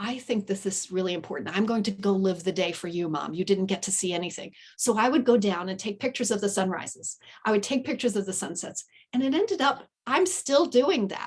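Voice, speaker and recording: Fairly quick speech from a woman, somewhat breathy in quality. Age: 60s. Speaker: podcast guest, writer and coach. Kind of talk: casual interview chat.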